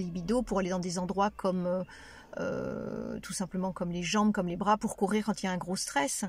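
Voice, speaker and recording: A somewhat breathy woman's voice at medium pitch with fairly even intonation. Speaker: relaxation practitioner and cancer survivor. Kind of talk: testimony. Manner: hesitant, many fillers; detached, calm.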